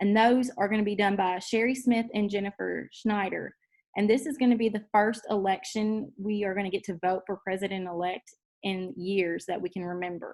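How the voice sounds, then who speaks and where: A woman with an ordinary speaking voice, medium pitch, fairly even intonation, and a moderate pace. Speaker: high school teacher and association president. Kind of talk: tutorial.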